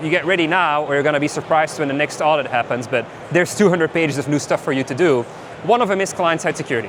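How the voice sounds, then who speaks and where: Very fast talk from a man with a fairly high pitch and ordinary pitch variation, over noticeable background noise. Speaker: tech company founder giving conference talk. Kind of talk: conference talk. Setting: stage with audience.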